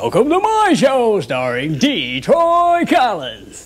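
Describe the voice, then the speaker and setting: Using a put-on character voice, a man drags his words out at a very slow pace. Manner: obnoxious, over-the-top.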